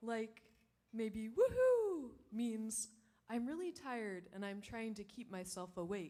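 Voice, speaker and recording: A woman with an American accent, fairly high in pitch, at a fairly slow pace. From Ohio, US Midwest. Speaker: stand-up comedian and professor. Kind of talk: stand-up. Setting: stage with audience. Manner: quiet.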